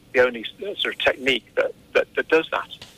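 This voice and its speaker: Speaking very fast, the man has an English accent. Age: 40s. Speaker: anxiety therapist. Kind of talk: radio interview.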